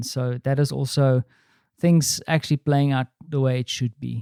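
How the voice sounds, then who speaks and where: A man in a South African accent with a medium pitch, dark, mellow tone and monotone, flat intonation at a moderate pace, in a dry, close sound with no echo and a very clean recording with a silent background. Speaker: podcaster. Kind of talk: personal vlog monologue. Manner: casual, with frequent fillers.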